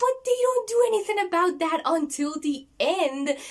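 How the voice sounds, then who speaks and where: The speaker has a non-native accent. The pitch swings very widely. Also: woman. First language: not English. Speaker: book reviewer, video creator. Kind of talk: casual video review. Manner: hesitant, with fillers and repeats.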